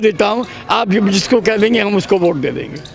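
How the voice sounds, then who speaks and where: There is noticeable background noise while a man talks. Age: 70s. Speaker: resident interviewed on the street. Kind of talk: street interview. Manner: animated.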